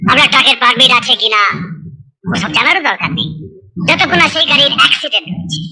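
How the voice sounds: A cartoonish character voice, bright and sharp in tone, with big pitch swings, vocal fry and a fast pace.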